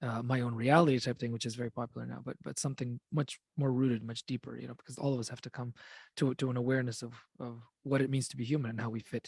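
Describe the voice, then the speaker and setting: In a very clean recording with a silent background and a dry, close sound with no echo, a man talks at a very fast pace. His medium-pitched voice is somewhat breathy and monotone, with flat intonation. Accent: Russian. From Russian immigrant family. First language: Russian. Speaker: fantasy author. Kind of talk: roundtable discussion.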